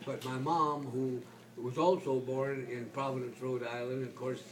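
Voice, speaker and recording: A man speaks at medium pitch in a flat monotone. The recording has audible room echo and noticeable background noise. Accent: American. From California, San Jose area. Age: 80s+. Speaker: retired veteran storyteller. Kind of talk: casual chat. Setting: doctor's waiting room. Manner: halting, many repeated words.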